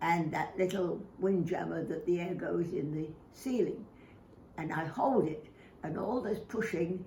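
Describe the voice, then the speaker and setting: A woman at a fairly slow pace, her medium-pitched voice lively in intonation, with noticeable background noise. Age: 80s+. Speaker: exercise demonstrator. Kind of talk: exercise instruction to camera.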